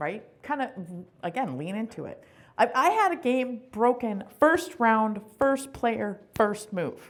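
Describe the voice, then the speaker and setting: Loud, very slow speech from a woman, fairly high in pitch, with very wide pitch swings. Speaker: conference presenter. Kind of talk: workshop talk. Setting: conference session room with audience.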